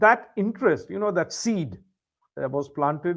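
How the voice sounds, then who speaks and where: A man speaks in a Keralan accent. His pace is fairly slow and his intonation lively. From India, raised outside Kerala. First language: Malayalam. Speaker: English tutor. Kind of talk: casual chat.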